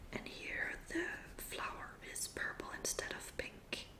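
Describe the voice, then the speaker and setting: A woman whispers over noticeable background noise. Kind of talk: ASMR magazine reading. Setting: close-miked recording. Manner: whispered, soft-spoken.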